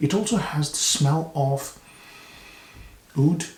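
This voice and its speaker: Very slow and soft-spoken, a man speaks at a fairly high pitch in a dark, mellow, somewhat breathy tone with ordinary pitch variation. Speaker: fragrance reviewer. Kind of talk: product review. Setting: video recording to camera.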